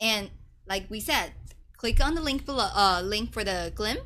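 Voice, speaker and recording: At a moderate pace, a woman with a fairly high pitch, ordinary pitch movement and vocal fry speaks in a bright, sharp tone. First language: not English. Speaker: live stream co-host. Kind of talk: casual live stream chat.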